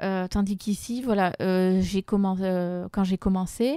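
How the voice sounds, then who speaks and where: A woman's dark, mellow voice at a medium pitch, fairly slow, dry and close with no echo. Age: 40s. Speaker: business owner. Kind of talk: interview testimony.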